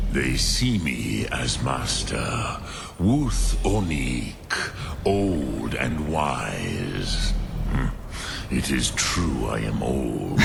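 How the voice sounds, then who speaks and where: A man performs a put-on character voice at a very slow pace. Loud background noise runs behind him. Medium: game stream. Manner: slow, solemn, measured.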